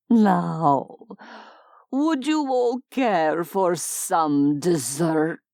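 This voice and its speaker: The speaker puts on a character voice. It sits at a middle pitch and unfolds at a very slow pace. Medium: read story. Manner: falsely polite, smug.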